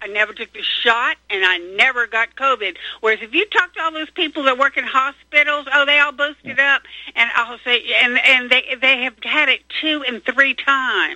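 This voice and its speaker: A woman with an American accent speaks at a moderate pace. Her high pitch shows ordinary pitch variation. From North Carolina. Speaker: caller. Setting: phone call.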